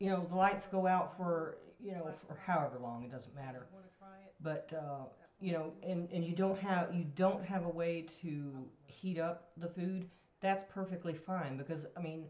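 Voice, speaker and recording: The voice is soft-spoken and moves at a moderate pace. Noticeable background noise can be heard. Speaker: home food preservation expert. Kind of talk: casual chat.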